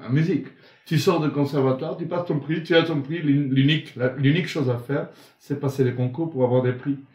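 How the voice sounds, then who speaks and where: A man with a fairly high pitch talks at a fairly quick pace, somewhat breathy, with fairly even intonation. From Argentina. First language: Italian and Spanish (speaking French). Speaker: singing teacher. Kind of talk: interview.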